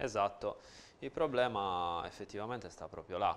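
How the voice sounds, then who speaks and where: A man's fairly low-pitched voice with ordinary pitch variation. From Sardinia, La Maddalena; Sardinia. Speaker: nutritionist; guest. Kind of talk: TV interview. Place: studio. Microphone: lapel.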